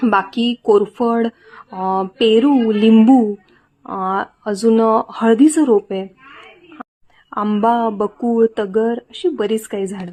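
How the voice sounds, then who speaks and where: Soft-spoken, a woman talks at a fairly high pitch with fairly even intonation. The recording is dry and close, without echo. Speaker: vlogger. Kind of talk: vlog voiceover.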